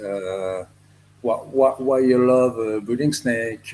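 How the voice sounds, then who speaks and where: A man with a French accent speaks very slowly at a medium pitch, his intonation fairly even. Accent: French accent, non-native English. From France. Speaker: reptile breeder. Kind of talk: podcast interview. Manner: halting, many fillers.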